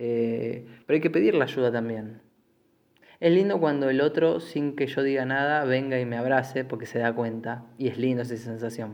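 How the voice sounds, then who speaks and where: This man speaks with a Rioplatense accent at a moderate pace. His voice sits at a medium pitch with ordinary pitch variation. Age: 20s. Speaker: podcast host. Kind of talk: solo monologue podcast. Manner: halting, many fillers and repetitions.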